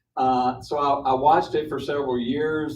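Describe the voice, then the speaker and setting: A man with an American accent talks in a monotone, flat intonation. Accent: Southern accent (joked as Michigan). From Mississippi, US South. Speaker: property developer. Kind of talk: public forum presentation. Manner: halting, many fillers and repetitions.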